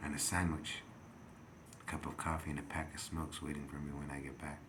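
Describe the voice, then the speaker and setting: Speaking very fast in a very deep, low pitch, a man keeps a monotone, flat intonation while audible room echo surrounds him. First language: not English. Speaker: video blogger. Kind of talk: rambling monologue. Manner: halting, many fillers.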